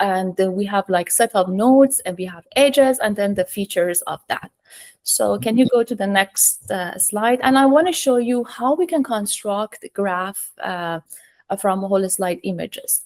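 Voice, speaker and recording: At a moderate pace, a woman speaks in a medium pitch with lively intonation, the sound dry and close with no echo. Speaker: professor. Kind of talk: technical webinar talk. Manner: hesitant, many fillers.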